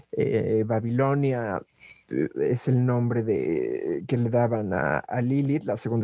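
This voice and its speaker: A man at a medium pitch speaks with ordinary pitch variation in a dry, close sound with no echo. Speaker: drag performer. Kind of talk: interview testimony. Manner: halting.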